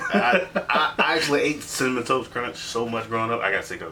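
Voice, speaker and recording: A man's animated voice at a fairly quick pace, full of lively intonation, over noticeable background noise. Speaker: podcast host. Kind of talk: casual chat.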